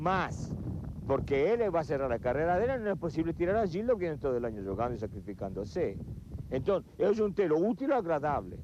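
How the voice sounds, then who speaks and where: Pitch swings very widely. The words come fairly quickly. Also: man, fairly high pitch for a man. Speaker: former football coach. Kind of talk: interview answer.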